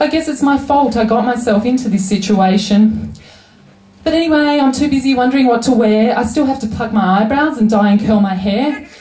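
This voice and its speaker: A woman at a fairly quick pace, high in pitch and very even in loudness, amid noticeable background noise. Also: ordinary pitch variation. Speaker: slam poet. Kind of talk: poetry slam performance.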